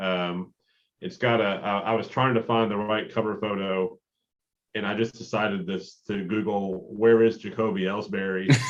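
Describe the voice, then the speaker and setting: A man speaks with a Kentucky accent at a fairly low pitch. His pace is moderate and his intonation fairly even. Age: 30s. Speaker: sports podcast co-host. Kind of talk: casual chat.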